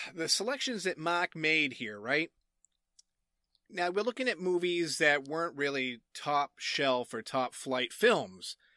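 Recorded dry and close with no echo, in a very clean recording with a silent background, a man with a Massachusetts accent speaks at a very slow pace with lively intonation. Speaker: game show judge. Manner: animated, jokey.

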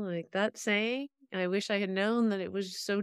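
A woman speaks at a fairly slow pace in an animated tone. The recording is very clean, with a silent background. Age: 50s. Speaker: founder and CEO of a recruiting platform. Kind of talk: interview.

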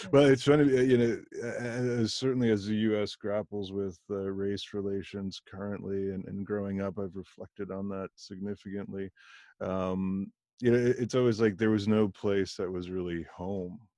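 A man with a General American accent talks at a moderate pace, with a fairly low pitch and fairly even intonation. His tone is dark and mellow, and the recording is very clean with a silent background. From US. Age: 40s. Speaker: podcast host. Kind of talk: casual interview.

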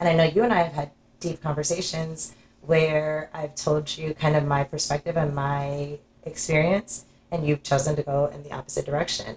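Somewhat breathy and very deep in pitch, a woman speaks at a moderate pace with fairly even intonation. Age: 40s. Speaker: podcast host. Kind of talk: casual chat.

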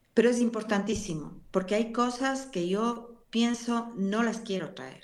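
With audible room echo, a woman speaks at a moderate pace and a fairly high pitch. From Ecuador, Cuenca. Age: 60s. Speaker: pastor. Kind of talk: interview.

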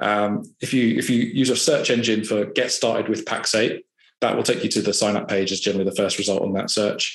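A man with a southern English accent speaks at a fairly quick pace, his loudness very even and intonation fairly even. Audible room echo surrounds the voice. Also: medium pitch for a man. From southern England (Hampshire). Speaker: IT services consultant. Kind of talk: casual interview.

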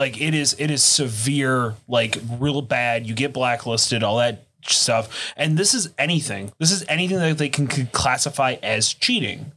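Bright and sharp in tone, a man talks in an animated way at a medium pitch and moderate pace, with ordinary pitch variation, very even loudness, and hardly any pauses. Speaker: podcast host. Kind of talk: casual chat. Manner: profane, animated.

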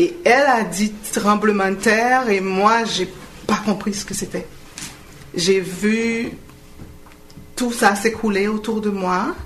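Over noticeable background noise, a woman with fairly high pitch and ordinary pitch variation speaks at a very slow pace with long, frequent pauses. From Haiti. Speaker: earthquake survivor. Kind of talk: radio interview.

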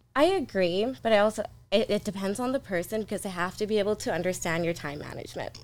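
Speaking at a very fast pace, a woman with a medium pitch shows ordinary pitch variation in a very clean recording with a silent background. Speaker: podcast co-host and event organizer. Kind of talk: casual chat. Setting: studio.

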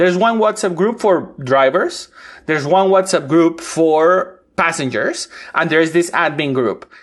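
This man has a high-pitched voice and a Spanish accent. His loudness stays very even. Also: ordinary pitch variation, fairly slow pace. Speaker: urban researcher. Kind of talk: interview.

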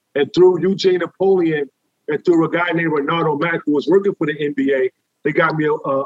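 The recording is dry and close with no echo. A man speaks at a high pitch with ordinary variation. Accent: New York. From New York City. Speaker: former streetball player. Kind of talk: casual interview.

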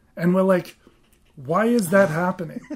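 A man's high-pitched voice with ordinary pitch variation, against noticeable background noise. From Australia. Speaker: podcast co-host. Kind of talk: casual podcast chat.

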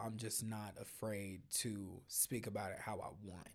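At a fairly slow pace, a man with an American accent speaks at a medium pitch in a very clean recording with a silent background. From Denver, Colorado. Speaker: singer, songwriter and producer. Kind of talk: casual chat. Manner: animated.

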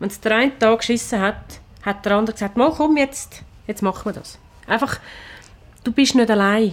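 At a moderate pace, a woman talks with long, frequent pauses, her fairly high pitch showing ordinary variation. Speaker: restaurant manager and cook. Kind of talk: casual chat.

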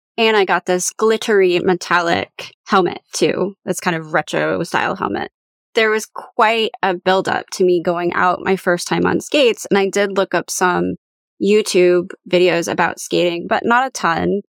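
A woman's normal speaking voice at medium pitch, fairly even intonation and a moderate pace, dry and close with no echo. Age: 30s. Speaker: podcast host and professional coach. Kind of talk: solo podcast monologue. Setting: home recording closet.

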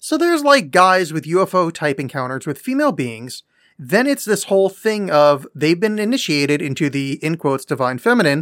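Over a silent background in a very clean recording, a man with a high pitch talks at a fairly quick pace with very wide pitch swings. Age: 40s. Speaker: podcast co-host. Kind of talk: casual chat.

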